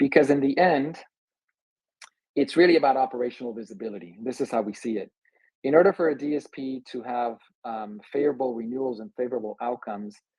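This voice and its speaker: Very fast but broken by long, frequent pauses, a man at medium pitch speaks with ordinary pitch variation and big swings in loudness. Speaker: insurance and risk management presenter. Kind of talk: webinar presentation.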